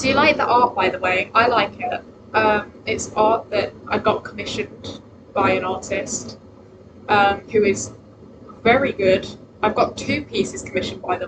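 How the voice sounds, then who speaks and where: Speaking at a moderate pace with a British accent, a woman uses a medium pitch and ordinary pitch variation against noticeable background noise. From Britain. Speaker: vtuber streamer. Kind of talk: casual livestream chat. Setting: home livestream from laptop. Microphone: laptop microphone, unsure of volume.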